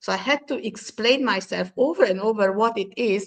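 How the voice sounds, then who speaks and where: A woman's bright, sharp tone, fairly high in pitch, with ordinary pitch variation and a moderate pace. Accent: Hungarian. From Hungary. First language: Hungarian. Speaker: diversity and inclusion expert. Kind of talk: panel discussion. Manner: halting.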